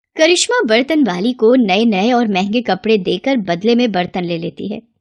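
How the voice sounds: At a moderate pace, a woman speaks with lively intonation and a medium pitch.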